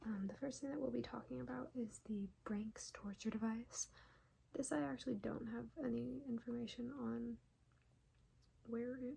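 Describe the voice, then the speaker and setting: A woman speaks at a moderate pace. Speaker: ASMR educational content creator. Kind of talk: educational ASMR, casual talk to camera. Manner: soft-spoken, casual, conversational.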